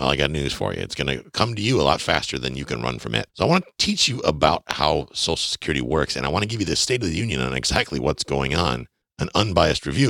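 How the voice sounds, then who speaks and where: A man's very deep, low voice with vocal fry and a bright, sharp tone, at a very fast pace with very wide pitch swings, in a dry, close sound with no echo. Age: 40s. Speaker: podcast host on personal finance. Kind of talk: solo podcast monologue. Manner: emphatic, direct address to listeners.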